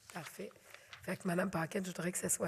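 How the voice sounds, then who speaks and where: A woman speaks loudly in a Quebec accent. Her pitch is medium and her intonation is monotone and flat. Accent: Québécois French. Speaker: mayor chairing council meeting. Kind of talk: council meeting chairing. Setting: council chamber with audience, filmed.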